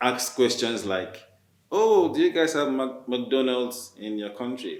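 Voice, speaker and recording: A man with a Nigerian accent speaks at a medium pitch and fairly slow pace, with long, frequent pauses. Audible room echo surrounds his voice. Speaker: writer, newcomer to Canada. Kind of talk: panel discussion. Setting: video call. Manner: halting, many fillers.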